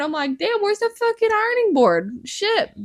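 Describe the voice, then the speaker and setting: Animated in tone, a woman's voice makes very wide pitch swings. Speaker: podcast co-host. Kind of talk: casual chat.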